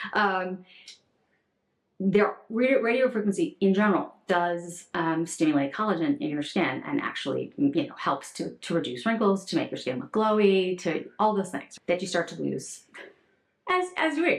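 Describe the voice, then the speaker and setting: A woman's medium-pitched voice swings very widely up and down. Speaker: beauty vlogger. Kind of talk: sponsored get-ready-with-me vlog. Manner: fast; casual, halting with repetitions.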